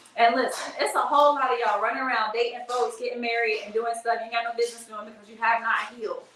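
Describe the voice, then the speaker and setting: Audible room echo and noticeable background noise surround a woman's voice. She sounds animated, with a high pitch and a very fast pace. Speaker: live streamer and tour producer. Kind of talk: livestream monologue.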